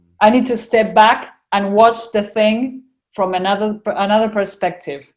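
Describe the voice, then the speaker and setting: Speaking at a moderate pace with an Argentinian accent, a woman keeps her fairly high voice in fairly even intonation. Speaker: spiritual channeler. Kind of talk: casual interview chat.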